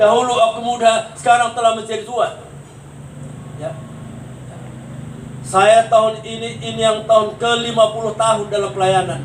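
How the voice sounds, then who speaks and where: Amid audible room echo and noticeable background noise, a man with a high voice speaks at a moderate pace, leaving long, frequent pauses. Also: ordinary pitch variation. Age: 70s. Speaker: pastor. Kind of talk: sermon. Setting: funeral consolation service.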